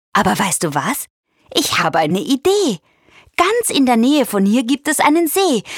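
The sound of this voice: A woman performs a put-on character voice with big pitch swings in a sing-song way, carrying a slightly husky edge. The sound is dry and close, with no echo. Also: fairly high pitch for a woman, fairly slow pace.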